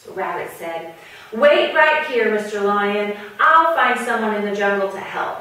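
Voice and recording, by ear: A natural voice reading aloud.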